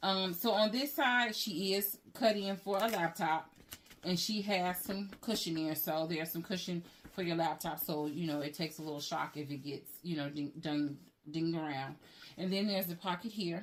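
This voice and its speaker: An unremarkable speaking voice belongs to a woman with a fairly low pitch. She talks at a moderate pace with ordinary pitch variation. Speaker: handbag reviewer, YouTuber. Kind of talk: product review tutorial. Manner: casual, conversational.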